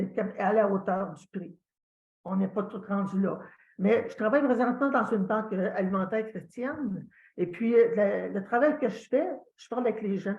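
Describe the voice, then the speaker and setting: A somewhat breathy woman talks at a fairly high pitch and moderate pace, with ordinary pitch variation and big swings in loudness. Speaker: church member sharing testimony. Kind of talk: testimony. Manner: halting, many hesitations.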